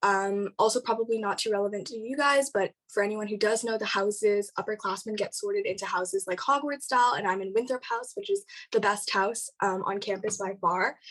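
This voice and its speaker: A woman with a Canadian accent talks at a fairly high pitch, in an unremarkable speaking voice with ordinary pitch variation and hardly any pauses. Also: fairly quick pace. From Canada, Toronto. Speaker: university student debater. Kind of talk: casual chat.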